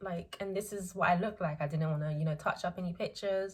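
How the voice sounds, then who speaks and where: The voice moves at a fairly quick pace and sounds somewhat breathy, with ordinary pitch variation. The recording is very clean, over a silent background. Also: woman. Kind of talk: casual talk to camera. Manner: hesitant, many filler words.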